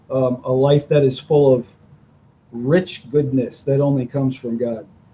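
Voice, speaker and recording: Somewhat breathy and dark, mellow in tone, a man speaks at a fairly slow pace and medium pitch. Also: fairly even intonation. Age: 60s. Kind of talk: interview. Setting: video podcast.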